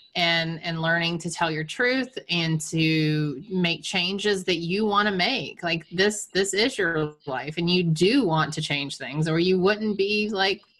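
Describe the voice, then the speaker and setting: Speaking at a very slow pace with hardly any pauses, the voice comes through over noticeable background noise. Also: woman, fairly low pitch for a woman, ordinary pitch variation. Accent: American. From US South, Savannah Georgia. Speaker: author and triathlon coach. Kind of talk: casual interview chat.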